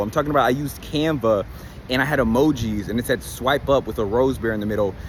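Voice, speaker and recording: A man talks at a very fast pace with lively intonation and an animated tone. Noticeable background noise runs under his voice. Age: 20s. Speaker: online business coach. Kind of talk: casual vlog monologue. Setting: on location in Miami.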